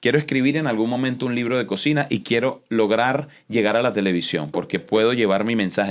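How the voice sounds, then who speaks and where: A man talks at a very fast pace, hardly pausing, at a medium pitch with ordinary pitch variation and very even loudness. The recording is very clean, with a silent background. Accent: Venezuelan. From Venezuela, Los Teques. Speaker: chef and TV host. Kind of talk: interview conversation. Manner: animated.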